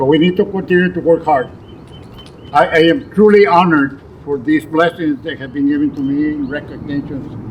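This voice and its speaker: Noticeable background noise sits behind a man's voice. He speaks at a fairly quick pace with a fairly high pitch and ordinary pitch variation. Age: 80s+. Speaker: community leader being honored. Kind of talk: acceptance speech.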